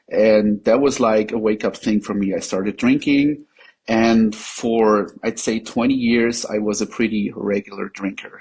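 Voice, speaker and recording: A man with a German accent, medium pitch, moderate pace and fairly even intonation. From Germany. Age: 40s. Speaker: patient sharing experience. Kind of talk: interview testimony. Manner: halting, many fillers.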